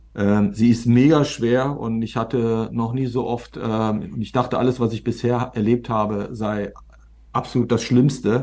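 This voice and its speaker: With a dark, mellow tone, a man talks at a fairly slow pace and with fairly even intonation against a quiet background. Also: medium pitch for a man. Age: 50s. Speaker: serial entrepreneur, media startup founder. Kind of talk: interview conversation.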